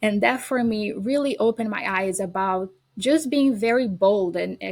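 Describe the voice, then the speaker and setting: A woman speaks with a Brazilian accent at a moderate pace. Her pitch sits fairly high. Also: ordinary pitch variation. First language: Portuguese. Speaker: educator and homeschooling parent. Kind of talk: podcast interview.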